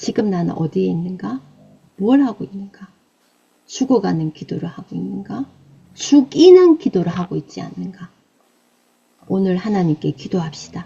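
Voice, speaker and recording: There are long, frequent pauses and big swings in loudness as a woman speaks at a moderate pace. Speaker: evangelist preacher. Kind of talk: sermon. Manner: emphatic, exhortative.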